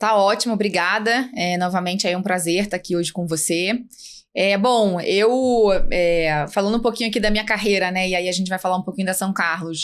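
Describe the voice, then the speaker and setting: Over a silent background on a very clean recording, a woman talks fairly quickly at medium pitch with fairly even intonation. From Rio de Janeiro, Brazil. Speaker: finance executive. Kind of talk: interview.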